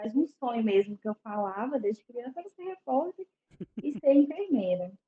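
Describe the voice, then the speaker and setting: The voice belongs to a woman and sits high in pitch. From Belo Horizonte, Minas Gerais, Brazil. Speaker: psychologist. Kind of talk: casual interview chat.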